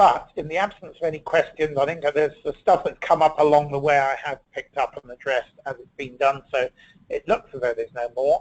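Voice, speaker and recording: A man with a British accent speaks at a fairly quick pace in a fairly high pitch with ordinary pitch variation. His loudness swings widely. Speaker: ergonomics consultant presenting a webinar. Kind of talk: webinar presentation. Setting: online webinar. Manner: fast.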